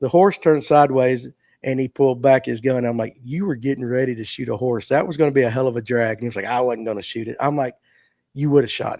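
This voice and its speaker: A man with a Southern US accent talks very fast at a medium pitch, his tone dark and mellow and his pitch variation ordinary. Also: very clean recording, silent background. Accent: Southern US (Georgia). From US South, Forsyth County, Georgia. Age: 50s. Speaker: fishing show host. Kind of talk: casual livestream chat. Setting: live stream. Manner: animated storytelling.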